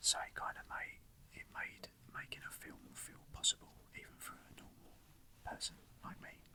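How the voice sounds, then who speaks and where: The speaker is whispering at a moderate pace. Long pauses come often. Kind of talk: soft-spoken ASMR talk about personal film memories. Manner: whispered, soft-spoken.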